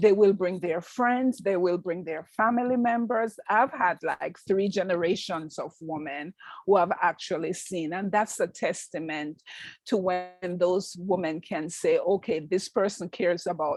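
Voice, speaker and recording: Speaking at a fairly slow pace with a strong Jamaican accent, a woman holds a medium pitch with ordinary pitch variation. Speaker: nurse practitioner. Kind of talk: interview.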